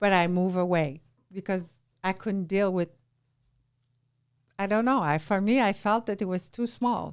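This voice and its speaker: A woman with a Quebec accent speaks with ordinary pitch variation and long, frequent pauses. The recording is very clean, with a silent background. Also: medium pitch for a woman, moderate pace. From Quebec, Canada. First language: French. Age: 50s. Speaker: entrepreneur. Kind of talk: casual chat. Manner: animated.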